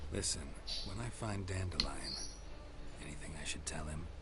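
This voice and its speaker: Loud background noise surrounds a whispering man. He uses a put-on character voice at a moderate pace. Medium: machinima. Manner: terse, deadpan.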